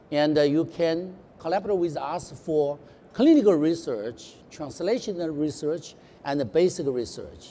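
In a Mandarin accent, a man speaks at a fairly slow pace with a fairly high pitch, a dark, mellow tone and ordinary pitch variation. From China. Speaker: heart surgeon; panellist. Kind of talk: panel talk. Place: hall.

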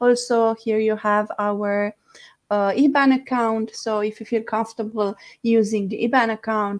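Against a quiet background, a woman with a plain, everyday voice speaks at a fairly slow pace and a fairly high pitch. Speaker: live stream moderator. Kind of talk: live stream moderation. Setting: live stream. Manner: warm, laughs easily. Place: home room. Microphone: headset.

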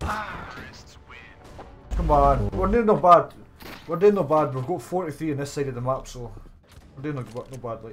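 A man's fairly high voice with a Scottish accent, lively intonation, a fairly slow pace and big swings in loudness over faint background music. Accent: sounds very Scottish. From England. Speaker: gamer streamer; game streamer. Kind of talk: casual gaming chat. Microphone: headset.

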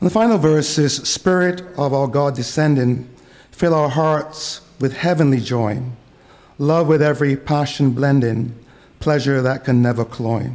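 At a fairly slow pace, a man speaks in a medium pitch. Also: ordinary pitch variation, slightly mellow tone.

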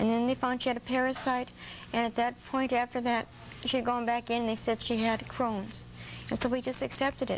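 The speech moves at a fairly quick pace. Light background noise is audible. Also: woman. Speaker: interview guest. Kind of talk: interview answer. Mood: sad, subdued, grieving. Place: studio. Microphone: lapel.

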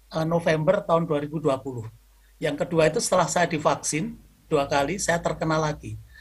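A man speaks at a moderate pace. His voice sits high in pitch. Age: 70s. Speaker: scout training director and lecturer; lecturer. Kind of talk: lecture. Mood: warm, smiling. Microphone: video call.

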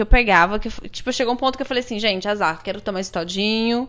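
A woman's fairly high-pitched voice at a very fast pace, with ordinary pitch variation. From Brazil. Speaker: marketing professional and yoga teacher; yoga teacher. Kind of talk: casual chat. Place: home room.

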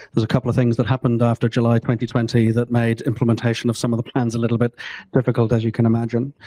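Very fast, a man speaks at a medium pitch in a dark, mellow tone. The sound is dry with no echo, and the background is quiet. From New Zealand. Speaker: industry association chief executive; panelist. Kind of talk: panel discussion. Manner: halting. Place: hall.

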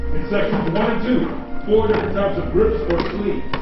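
The voice sits in strong room echo with music playing in the background. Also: man. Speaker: workshop host narrator. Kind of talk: theatrical scripted narration. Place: workshop. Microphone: pa.

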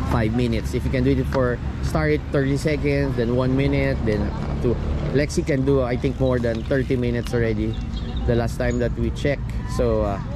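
Clear music plays in the background while a man talks at a moderate pace. The sound is dry, with no echo. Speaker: cycling coach. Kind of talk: commentary. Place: street. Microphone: phone near.

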